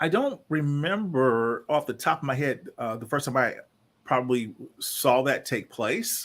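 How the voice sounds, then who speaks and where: In an American accent, a man with a plain, everyday voice speaks at a fairly slow pace, his fairly high pitch carrying lively intonation. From Chicago area, northwest Indiana. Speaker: leadership consultant and executive coach. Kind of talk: interview.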